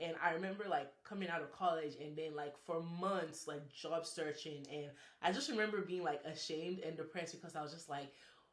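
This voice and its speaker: With audible room echo, a woman with a fairly low voice talks at a fairly quick pace, with fairly even intonation and hardly any pauses. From Nigeria. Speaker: engineer, podcast guest. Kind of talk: casual chat. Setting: Instagram live.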